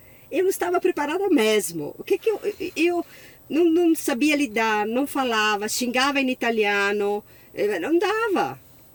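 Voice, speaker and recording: Noticeable background noise sits behind a woman whose high voice swings very widely in pitch as she talks fairly slowly. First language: Italian (speaking Portuguese). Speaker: sommelier. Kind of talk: interview.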